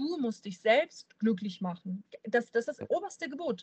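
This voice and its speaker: A woman speaks at a fairly slow pace with a slight southern German accent. Her fairly high voice is somewhat breathy, with lively intonation. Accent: slight southern German, rolled R when excited. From Bavaria, near Munich. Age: 30s. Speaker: fitness entrepreneur and student. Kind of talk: casual podcast conversation.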